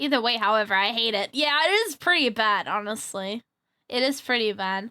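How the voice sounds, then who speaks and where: A woman's fairly high, bright, sharp voice, animated in tone, with lively intonation and a moderate pace. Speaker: VTuber streamer. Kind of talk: casual chat. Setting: live stream.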